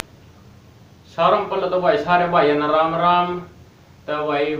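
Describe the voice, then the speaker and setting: With noticeable background noise behind him, a man in a Haryana accent talks in a high pitch with monotone, flat intonation. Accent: Haryanvi. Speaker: tech reviewer. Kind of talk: casual tech review to camera.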